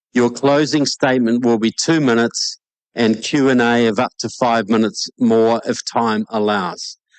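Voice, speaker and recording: A man speaks at a moderate pace and medium pitch, with fairly even intonation and very even loudness. The sound is dry and close with no echo, and the background is quiet. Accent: New Zealand. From New Zealand. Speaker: debate moderator. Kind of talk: debate moderation.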